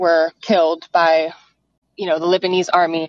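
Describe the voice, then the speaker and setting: A woman is heard in a dry, close sound with no echo. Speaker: caller and activist. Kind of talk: personal testimony. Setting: phone call.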